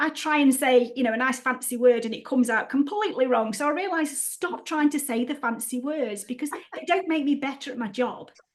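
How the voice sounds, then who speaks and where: Speaking at a fairly quick pace with hardly any pauses, a woman uses a high pitch. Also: ordinary pitch variation. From Stoke-on-Trent, England. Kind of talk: casual, conversational.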